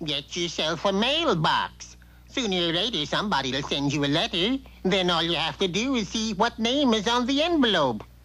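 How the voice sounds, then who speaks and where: A cartoonish character voice sits at a middle pitch and moves at a moderate pace. Light background noise can be heard. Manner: folksy, laconic.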